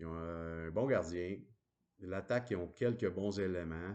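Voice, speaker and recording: Against a quiet background, a man with a Quebec accent speaks very slowly in a very deep, low voice with fairly even intonation. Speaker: hockey commentator. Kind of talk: casual monologue. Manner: hesitant, many fillers.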